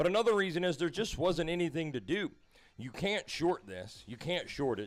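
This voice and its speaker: A man speaks with a Southern US accent at a fairly quick pace, his intonation lively. The recording is very clean, with a silent background. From US South, Louisiana. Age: 40s. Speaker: crypto trading streamer. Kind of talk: live stream chat. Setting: live stream. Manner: casual, animated.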